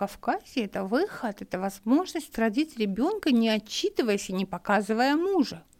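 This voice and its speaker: A woman speaks at a moderate pace with very wide pitch swings, in a very clean recording with a silent background. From Dagestan, Makhachkala. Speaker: journalist and women's rights activist. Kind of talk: interview conversation. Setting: studio. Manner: animated.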